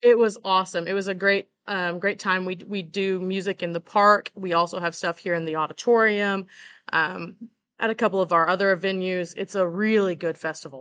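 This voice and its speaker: At a moderate pace, a woman uses an ordinary speaking voice at medium pitch with fairly even intonation, in a dry, close sound with no echo and a quiet background. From Oklahoma, small town. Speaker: tourism director. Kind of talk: interview.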